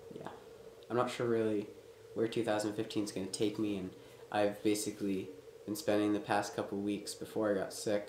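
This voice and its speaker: A man's fairly low voice amid noticeable background noise. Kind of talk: casual talk to camera. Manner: rambling.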